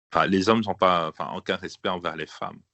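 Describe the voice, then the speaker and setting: Pitched very deep and low, this man speaks with fairly even intonation. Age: 30s. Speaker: member of an association, visually impaired. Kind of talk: radio interview. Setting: remote recording. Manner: halting, many hesitations.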